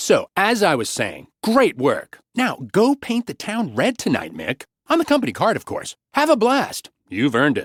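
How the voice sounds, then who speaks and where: A put-on character voice at a moderate pace with hardly any pauses, on a very clean recording with a silent background. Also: man. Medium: read story. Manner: breezy, cheerful.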